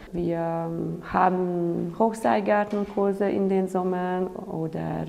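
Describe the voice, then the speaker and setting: A woman with a Hungarian accent, fairly low-pitched, speaking at a very slow pace over noticeable background noise. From Hungary. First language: Hungarian (speaking German). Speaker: outdoor trainer. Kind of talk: interview.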